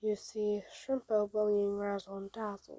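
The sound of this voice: The reading comes in an unforced voice.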